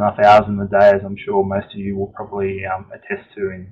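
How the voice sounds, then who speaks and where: With an Australian accent, a man speaks at a fairly low pitch. He keeps a fairly quick pace. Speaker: engineer presenting a webinar. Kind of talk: webinar presentation. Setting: online webinar. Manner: hesitant, many fillers.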